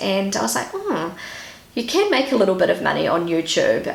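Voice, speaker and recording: With a New Zealand accent, a woman talks in a relaxed tone against noticeable background noise. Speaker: YouTuber and stay-at-home mother. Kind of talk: casual talk to camera. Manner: relaxed, chatty.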